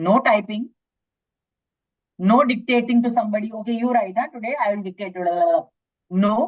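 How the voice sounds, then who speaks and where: A woman's voice, somewhat breathy and fairly high in pitch, comes through. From India, Mumbai. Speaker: hypnotherapist. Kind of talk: workshop talk. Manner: animated.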